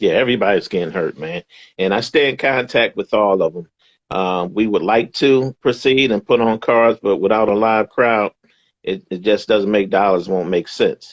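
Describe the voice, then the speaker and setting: Talking at a moderate pace, a man with an unremarkable speaking voice uses a fairly low pitch and ordinary pitch variation. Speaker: boxing ring announcer. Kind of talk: interview answer. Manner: upbeat, warm, encouraging.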